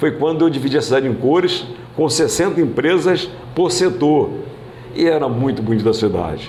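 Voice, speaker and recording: A man talks at a moderate pace with ordinary pitch variation and very even loudness. There is audible room echo and noticeable background noise. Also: fairly high pitch for a man. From Brazil, Cabo Frio (Rio de Janeiro state). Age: 80s+. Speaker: former mayor, politician. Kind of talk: interview. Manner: halting, frequent repetitions.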